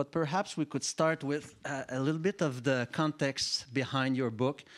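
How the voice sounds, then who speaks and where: On a very clean recording with a silent background and a dry, close sound with no echo, a man with a French accent speaks at a moderate pace in a fairly high pitch, using ordinary pitch variation. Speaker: panel moderator. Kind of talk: panel discussion moderation. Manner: halting, many fillers.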